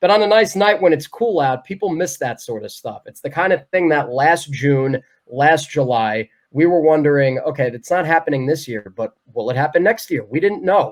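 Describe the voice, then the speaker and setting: A man talks in an unremarkable speaking voice at a moderate pace. His pitch is fairly high with ordinary variation. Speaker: baseball radio play-by-play announcer. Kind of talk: interview answer.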